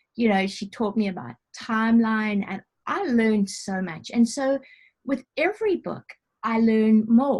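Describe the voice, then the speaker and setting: A somewhat breathy, fairly high-pitched female voice. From South Africa. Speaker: novelist. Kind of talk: interview answer. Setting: video call.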